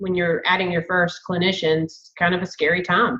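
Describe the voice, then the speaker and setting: Here is a woman with a strong Southern US accent. Her pitch sits fairly low. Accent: thick Southern. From US South, Savannah, Georgia. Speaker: therapist, group practice owner. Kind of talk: podcast interview.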